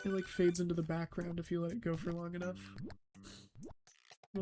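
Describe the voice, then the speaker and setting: A quiet voice speaks at a fairly quick pace with music in the background. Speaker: gaming video creator. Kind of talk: sleep-aid let's play commentary. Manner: hushed, quiet; halting with fillers.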